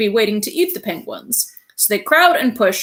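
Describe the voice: Lively intonation over a plain reading aloud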